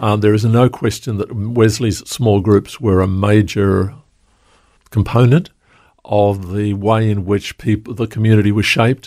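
Talking at a fairly slow pace, a man keeps a fairly low pitch and fairly even intonation. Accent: Australian. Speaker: pastor. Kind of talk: interview. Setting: studio.

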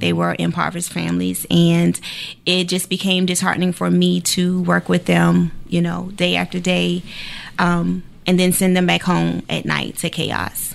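In an American accent, the voice holds very even loudness at a moderate pace. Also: woman. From Savannah, Georgia (US South). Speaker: executive director of a homeless family shelter nonprofit. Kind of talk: interview.

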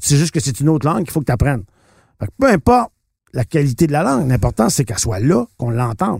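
A man with a fairly high pitch talks at a very fast pace with lively intonation, somewhat breathy and broken by long, frequent pauses, in a dry, close sound with no echo. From Quebec, Shawinigan. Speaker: politician and actor. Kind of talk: interview. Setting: studio.

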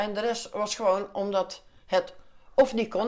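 This is a woman's voice. Her pitch sits at a medium level. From Netherlands, Den Bosch (North Brabant). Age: 50s. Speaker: calendar maker for veterans charity. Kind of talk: interview, personal life story.

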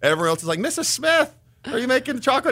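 A man speaks in a raised, projected voice with a bright, sharp tone and very wide pitch swings. His very fast delivery comes through on a very clean recording with a silent background. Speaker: charisma coach. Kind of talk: casual interview.

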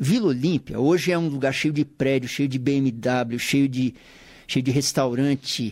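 Fairly slow with fairly even intonation and very even loudness, a man speaks at a medium pitch in an ordinary speaking voice. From São Paulo city, Brazil. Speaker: musician and saxophonist, radio show presenter. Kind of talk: casual radio interview. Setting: radio studio.

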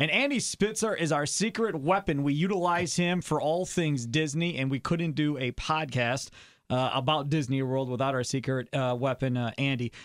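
In a very clean recording with a silent background, a man with a fairly high pitch and an unremarkable speaking voice talks at a moderate pace with ordinary pitch variation, very even loudness and hardly any pauses. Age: 40s. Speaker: radio host and podcast host. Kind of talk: casual chat.

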